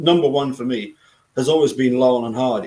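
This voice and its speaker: A man is speaking. He has a Scottish accent. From Scotland. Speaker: video channel host. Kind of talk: casual chat. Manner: halting, many repetitions.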